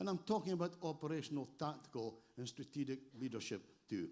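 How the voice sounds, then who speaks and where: A man speaks with a Scottish accent. His intonation is lively. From Scotland. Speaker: emergency response trainer. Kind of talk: conference presentation.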